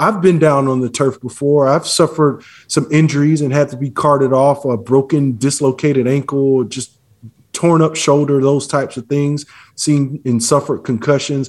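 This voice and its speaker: At a moderate pace, a man speaks in a normal speaking voice with a fairly high pitch and fairly even intonation. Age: 40s. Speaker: former pro football player. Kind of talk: interview.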